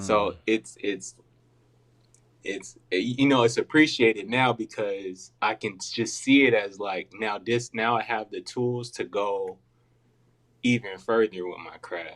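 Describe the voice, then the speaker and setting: With an American accent, a man speaks very slowly and with fairly even intonation. His loudness swings widely. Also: medium pitch for a man. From California. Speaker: portrait artist, podcast guest. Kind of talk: casual interview answer. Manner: soft-spoken.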